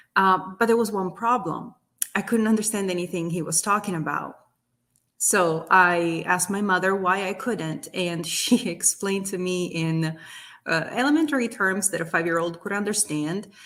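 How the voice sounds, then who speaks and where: A woman speaks at a moderate pace in an Italian accent, with ordinary pitch variation. The recording is very clean, with a silent background. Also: medium pitch for a woman. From southern Italy, near Naples. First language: Italian (Neapolitan). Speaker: business owner. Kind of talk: interview testimony. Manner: passionate.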